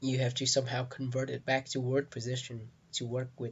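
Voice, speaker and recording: A somewhat breathy man with a non-native accent and a medium pitch. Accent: heavy non-native. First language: not English. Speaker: game developer, tutorial maker. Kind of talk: tutorial. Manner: halting, with fillers.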